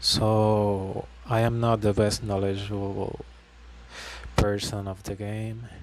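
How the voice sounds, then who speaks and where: A man's fairly low voice in a monotone, flat delivery, over noticeable background noise. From Puerto Rico. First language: Spanish. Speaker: gaming YouTuber. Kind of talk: tutorial. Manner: halting.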